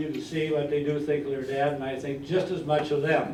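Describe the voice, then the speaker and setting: Against noticeable background noise and audible room echo, a man speaks with a fairly high pitch. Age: 80s+. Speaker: retiree giving a birthday speech. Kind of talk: after-dinner speech.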